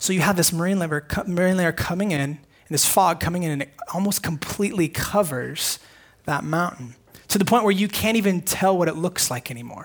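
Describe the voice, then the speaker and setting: This man has a high pitch and speaks with a Californian accent. His delivery is fairly quick, with ordinary pitch variation. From US West Coast, northern San Diego County. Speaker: pastor. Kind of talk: sermon. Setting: church.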